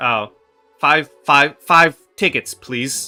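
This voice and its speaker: A man puts on a robotic character voice at a fairly high pitch, with faint music in the background. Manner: repetitive, glitchy.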